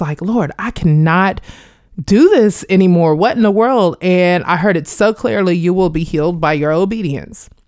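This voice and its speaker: A woman with an American accent speaks at a moderate pace in an ordinary speaking voice, with medium pitch and ordinary pitch variation. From Kansas, Wichita. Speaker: performance artist and educator, Air Force veteran. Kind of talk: interview testimony.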